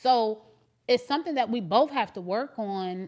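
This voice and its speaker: In a very clean recording with a silent background, a woman with an unremarkable speaking voice talks at a moderate pace, her fairly high pitch carried by lively intonation. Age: 40s. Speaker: podcast host. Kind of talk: emotional family conversation. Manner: earnest.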